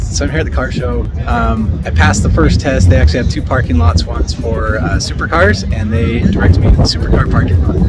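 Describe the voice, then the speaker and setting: A man speaks at a very fast pace with hardly any pauses. Music plays in the background of the dry recording with no echo. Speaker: car builder vlogger. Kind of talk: casual vlog chat. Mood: excited, cheerful. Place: street. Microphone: phone near.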